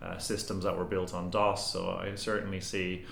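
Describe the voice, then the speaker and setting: A man with an Irish accent speaks in a very deep, low pitch. Audible room echo and noticeable background noise surround him. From Ireland. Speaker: tech company CEO. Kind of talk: interview. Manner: hesitant with frequent repetitions.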